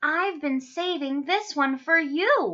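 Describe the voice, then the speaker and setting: A woman speaks in a put-on character voice, high-pitched and squeaky. Her pace is fairly slow. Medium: read story. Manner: warm, gentle.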